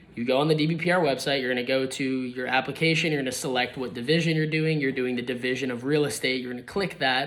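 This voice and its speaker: Amid audible room echo, a man of medium pitch talks very fast with hardly any pauses and fairly even intonation. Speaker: real estate agent. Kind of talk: tutorial. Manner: casual, filler-heavy.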